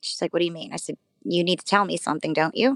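A woman's voice is heard in a dry, close sound with no echo. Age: 30s. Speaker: psychic medium. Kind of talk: casual chat.

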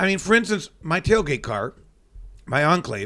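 A man with an American accent speaks in a high pitch with lively intonation. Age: 50s. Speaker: superstitious sports fan, former radio personality. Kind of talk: casual chat. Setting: video recording.

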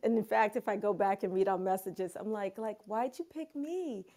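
A woman with a New York accent, a dark, mellow tone and ordinary pitch variation, on a very clean recording with a silent background. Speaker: photographer. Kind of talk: casual chat. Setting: Clubhouse audio room.

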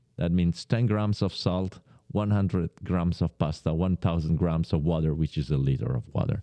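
A man with a very deep, low pitch and a dark, mellow tone talks at a moderate pace with ordinary pitch variation and very even loudness. The sound is dry and close with no echo, over a quiet background. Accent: Italian. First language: Italian. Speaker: pasta producer. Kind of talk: interview.

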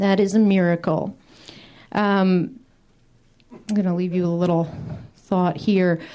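At a fairly slow pace, a woman speaks with a medium pitch, a dark, mellow tone, fairly even intonation and long, frequent pauses. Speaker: comedian. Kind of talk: stand-up. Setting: stage with audience.

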